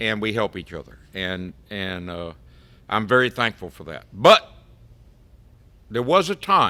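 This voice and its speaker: With an American accent, a man speaks at a fairly slow pace, leaving long, frequent pauses. His fairly low voice has a bright, sharp tone and big swings in loudness. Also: ordinary pitch variation. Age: 70s. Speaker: fishing boat captain. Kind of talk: casual chat.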